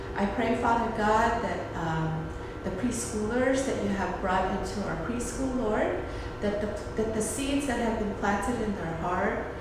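A woman talks at a fairly slow pace amid noticeable background noise and strong room echo. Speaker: preschool director leading prayer. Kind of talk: fervent intercessory prayer, earnest and devotional, addressing God directly. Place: classroom. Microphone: phone near.

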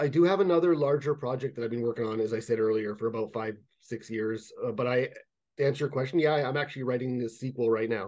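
A man with a Canadian accent talks at a very fast pace with ordinary pitch variation. The background is quiet. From Canada, Toronto (Jane and Finch area). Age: 30s. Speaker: fantasy writer. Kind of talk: casual interview chat. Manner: halting, many fillers and repetitions. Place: home room. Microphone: webcam.

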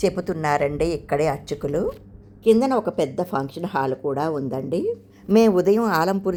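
A woman speaks with ordinary pitch variation. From Andhra Pradesh, Srikakulam. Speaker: travel vlogger. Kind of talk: travel vlog narration. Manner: animated.

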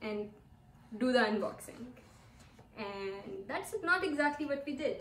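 In a room with audible echo and light background noise, a woman speaks very slowly in a high pitch. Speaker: vlogger, former lecturer. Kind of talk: casual vlog chat. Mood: excited and cheerful. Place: home room. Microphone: camera far.

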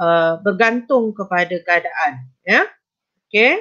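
At a very slow pace, a woman with a medium pitch, ordinary pitch variation and a bright, sharp tone speaks. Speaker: teacher. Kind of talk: online exam-prep lesson.

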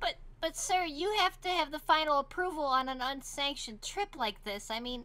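Putting on a character voice, a woman speaks at a high pitch with lively intonation, a moderate pace and hardly any pauses. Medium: machinima. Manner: formal, exasperated, sarcastic.

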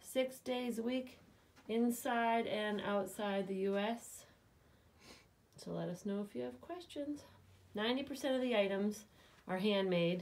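The delivery is very slow, broken by long, frequent pauses. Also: woman. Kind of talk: product walkthrough narration. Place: shop. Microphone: phone near.

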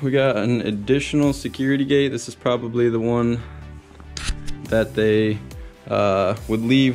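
Faint music plays behind a man speaking at a moderate pace with ordinary pitch variation. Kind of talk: casual vlog chat. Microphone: phone near.

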